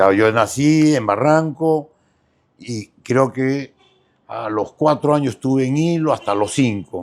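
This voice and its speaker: Very slow in pace, a man speaks at medium pitch with ordinary pitch variation. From Peru, Mollendo (southern coast). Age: 60s. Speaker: businessman. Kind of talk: interview. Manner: halting.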